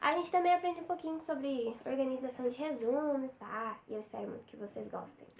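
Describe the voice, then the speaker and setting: High-pitched female voice at a moderate pace, with ordinary pitch variation. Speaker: study tips vlogger. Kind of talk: tutorial. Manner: casual, chatty.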